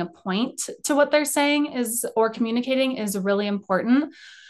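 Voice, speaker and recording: A woman with an American accent, fairly high pitch, ordinary pitch variation and a quiet background. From Colorado, US. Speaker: PR and media company founder, former entertainment reporter. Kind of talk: interview conversation.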